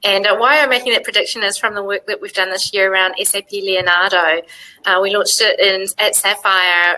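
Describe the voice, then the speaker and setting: With a slight New Zealand accent, a woman talks at a fairly quick pace. Her medium-pitched voice has a monotone, flat intonation. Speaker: software executive. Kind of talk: live web chat.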